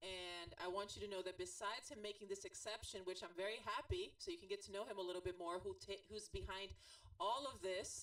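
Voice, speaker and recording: With a Brazilian accent, a woman speaks at a moderate pace. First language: Portuguese. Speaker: podcast host, transformation coach. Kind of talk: interview.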